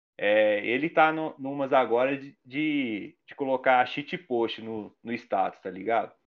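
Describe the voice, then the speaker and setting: Here a man speaks at a very slow pace with hardly any pauses. His pitch variation is ordinary, and his loudness swings widely. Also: medium pitch for a man. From Minas Gerais, Brazil. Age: 30s. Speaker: illustrator and graffiti artist. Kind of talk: casual chat.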